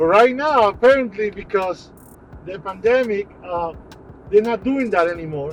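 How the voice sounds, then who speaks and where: Music plays in the background. Over it, a man speaks at a high pitch. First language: Portuguese. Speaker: prepper vlogger. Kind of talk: casual vlog monologue. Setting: in a car, on the way to the supermarket.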